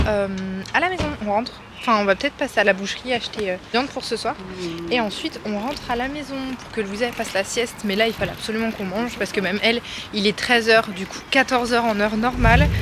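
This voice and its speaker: A woman at a very fast pace, fairly high in pitch with ordinary pitch variation, amid noticeable background noise. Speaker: lifestyle vlogger. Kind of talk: casual vlog. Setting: outdoors.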